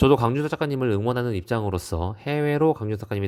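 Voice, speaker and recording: Over a silent background on a very clean recording, a man talks very fast at a medium pitch, with a dark, mellow tone and lively intonation. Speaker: art collecting YouTuber. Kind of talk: casual vlog commentary. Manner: animated.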